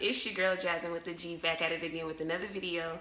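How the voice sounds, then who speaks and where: The speech moves at a very fast pace. Audible room echo and noticeable background noise are present. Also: woman. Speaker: beauty vlogger. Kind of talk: tutorial. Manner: animated.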